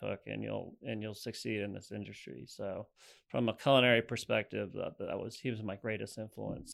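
A fairly low male voice with vocal fry at a fairly quick pace, on a very clean recording with a silent background. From Rhode Island (Barrington), New England. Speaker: chef and restaurant owner. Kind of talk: casual interview chat.

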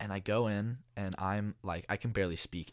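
A man with a Californian accent at a fairly low pitch, with ordinary pitch variation and a moderate pace, on a very clean recording with a silent background. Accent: Californian American. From US West, San Francisco Bay Area. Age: 20s. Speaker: podcast host, college student. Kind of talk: solo monologue podcast. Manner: casual with many fillers.

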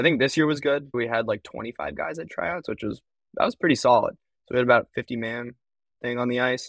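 A man's normal speaking voice with an American accent, medium in pitch, fairly quick, with ordinary pitch variation. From US West Coast (East Bay, California). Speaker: college club hockey goaltender. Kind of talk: casual interview.

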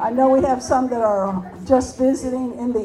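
Crowd noise runs in the background. The speaker keeps a moderate pace with ordinary pitch variation. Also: woman. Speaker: prayer meeting leader. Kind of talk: prayer. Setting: stage with audience.

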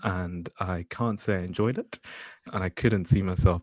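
A man's very deep, low voice at a fairly quick pace, with fairly even intonation, a dry, close sound with no echo and a quiet background. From Nigeria. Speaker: surgeon and podcast host. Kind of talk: casual chat.

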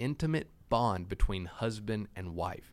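In a normal speaking voice, a man talks at a fairly slow pace with lively intonation on a very clean recording with a silent background. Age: 30s. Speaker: church podcast co-host. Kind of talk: podcast discussion on faith topics.

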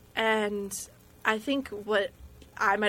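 Vocal fry runs through a bright, sharp tone in a very clean recording with a silent background. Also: woman. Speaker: college student podcast host. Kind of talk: casual chat, comedic interview. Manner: animated, playful.

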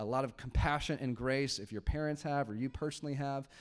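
A man speaks very fast with fairly even intonation. The recording is very clean, with a silent background. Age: 30s. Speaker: pastor. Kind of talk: sermon. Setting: church. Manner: casual, laughing often.

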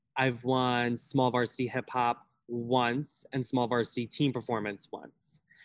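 In an American accent, a man talks at a fairly slow pace and a medium pitch, with monotone, flat intonation and hardly any pauses. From Long Island, New York. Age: 20s. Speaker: college dancer. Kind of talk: casual interview.

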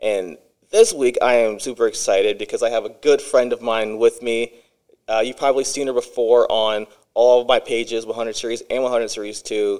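At a moderate pace, a man speaks with a Midwestern US accent. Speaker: podcast host. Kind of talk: casual interview chat.

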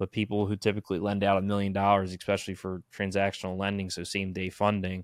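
A man's fairly low, monotone voice with flat intonation and an American accent, delivered at a very fast pace, dry and close with no echo, on a very clean recording with a silent background. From New Jersey. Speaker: podcast host. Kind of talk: casual chat.

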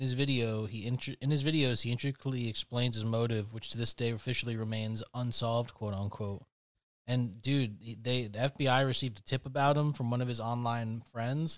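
A man with an unremarkable speaking voice talks at medium pitch and a fairly quick pace. His intonation stays fairly even. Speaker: podcast co-host.

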